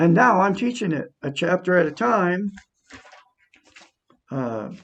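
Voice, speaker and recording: The voice moves at a fairly slow pace with very wide pitch swings. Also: man, high pitch for a man. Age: 60s. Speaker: self-help video blogger. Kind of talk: motivational talk to camera. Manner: animated.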